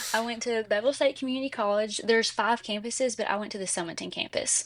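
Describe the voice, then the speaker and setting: Very fast speech from a woman with an Alabama accent, fairly high in pitch. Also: ordinary pitch variation. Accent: Southern US (Alabama). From US South, Jasper, Alabama. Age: 20s. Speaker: nursing graduate. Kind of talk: interview. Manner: animated.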